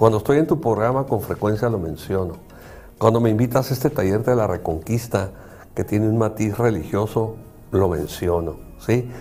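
The speaker talks at a moderate pace with ordinary pitch variation. Music can be heard in the background. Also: man, fairly low pitch for a man. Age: 60s. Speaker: psychologist and show host. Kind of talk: casual chat.

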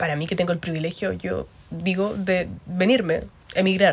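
Her pace is fairly slow. The woman's voice sounds somewhat breathy. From Concepción, Chile. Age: 20s. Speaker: podcast co-host. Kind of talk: casual chat.

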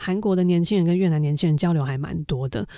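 A woman talks in a plain, everyday voice at a fairly quick pace. Her pitch is fairly low, with ordinary pitch variation. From Taiwan. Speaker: founder of a civic digital diplomacy association. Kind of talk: interview.

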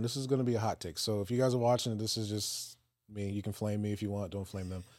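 A man with an American accent, dark, mellow tone, ordinary pitch variation, very clean recording, silent background. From Virginia, Peninsula area. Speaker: podcast host. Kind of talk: casual discussion.

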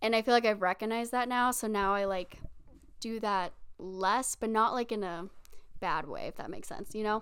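Very clean recording with a silent background: a woman with a plain, everyday voice speaks at a fairly high pitch. Her pace is moderate and her intonation fairly even. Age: 20s. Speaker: podcast co-host. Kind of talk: casual chat. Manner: laughs often.

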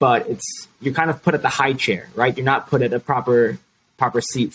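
A man with an American accent talks at a fairly quick pace in an ordinary speaking voice, medium in pitch with ordinary pitch variation. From Chicago. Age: 20s. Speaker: youth activist, nonprofit founder. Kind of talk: interview.

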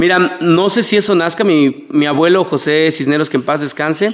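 A man's unremarkable speaking voice, an unremarkable speaking voice at a moderate pace with ordinary pitch variation. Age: 30s. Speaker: political candidate. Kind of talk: interview. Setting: studio.

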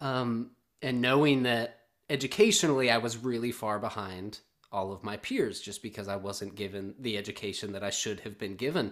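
A man with an American accent talks at a moderate pace and medium pitch with ordinary pitch variation, in a plain, everyday voice. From US South. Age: 30s. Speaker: podcast host. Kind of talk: casual chat. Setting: video call.

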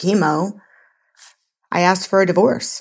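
A woman's voice in a monotone, flat intonation. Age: 40s. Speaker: life coach guest, former hospitality worker. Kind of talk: casual interview.

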